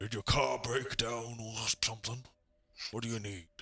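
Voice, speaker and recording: This is a put-on character voice. Its intonation stays fairly even. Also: man, medium pitch for a man, moderate pace. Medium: actual play. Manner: brusque, dismissive.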